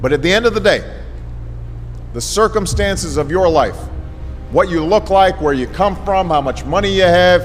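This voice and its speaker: Speaking at a moderate pace with an American accent, a man leaves long, frequent pauses while music plays in the background. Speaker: former U.S. president giving a speech. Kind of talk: motivational speech to students.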